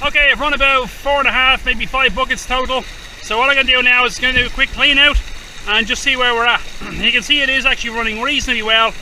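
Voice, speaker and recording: A man shouts in an Irish accent at a very fast pace, his raised, projected voice pitched extremely high and flat in intonation against noticeable background noise. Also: very even loudness. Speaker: gold prospecting youtuber. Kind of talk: outdoor tutorial vlog. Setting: outdoors by a river. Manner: loud, shouting over river.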